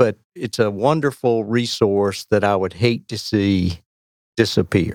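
The speaker has a North Carolina accent and a fairly slow pace with ordinary pitch variation. The sound is dry and close, with no echo. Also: man. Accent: North Carolina Southern US. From North Carolina, Weldon. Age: 60s. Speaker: longtime angler. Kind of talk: casual chat.

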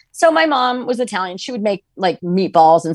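In an ordinary speaking voice, a woman with an American accent talks at a fairly quick pace with lively intonation, on a very clean recording with a silent background and a dry, close sound with no echo. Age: 50s. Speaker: ultrarunner and author. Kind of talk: podcast interview.

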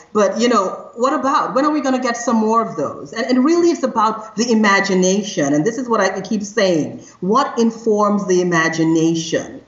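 Noticeable background noise accompanies a woman with a fairly high pitch and lively intonation, talking at a moderate pace. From Trinidad and Tobago. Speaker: criminologist and AI ethics consultant. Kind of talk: interview conversation. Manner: energetic.

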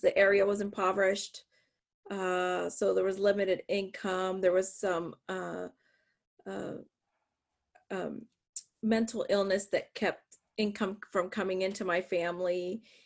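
This woman has a medium pitch and an ordinary speaking voice. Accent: American. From northwest Pennsylvania. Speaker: author and adjunct professor. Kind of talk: interview.

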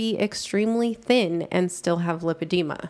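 Against a silent background on a very clean recording, a woman talks at a medium pitch with fairly even intonation. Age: 40s. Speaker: patient advocate. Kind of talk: interview.

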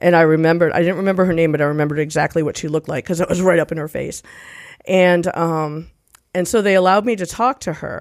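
A woman talks at a very fast pace in a fairly low voice. Her intonation stays fairly even. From Rhode Island. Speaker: recovering alcoholic, physician assistant. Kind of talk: testimony. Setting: studio at a recovery center.

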